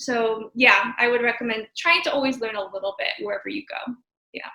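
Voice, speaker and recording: A woman talks at a fairly quick pace and a fairly high pitch. She has a plain, everyday voice with ordinary pitch variation. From Oregon, US Pacific Northwest. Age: 20s. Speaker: travel photographer. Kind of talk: interview. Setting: video call.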